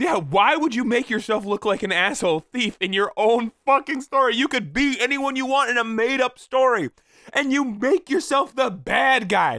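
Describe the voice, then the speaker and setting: A raised, projected voice, bright and sharp in tone, with lively intonation at a moderate pace on a very clean recording with a silent background. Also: man, extremely high pitch for a man. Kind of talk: reddit post reading with casual commentary. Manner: casual, humorous, profane.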